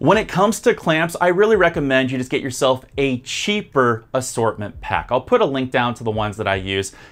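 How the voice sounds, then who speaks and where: Pitch swings very widely as the speaker moves along at a fairly quick pace. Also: man. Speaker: painting instructor. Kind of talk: tutorial. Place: studio. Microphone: lapel.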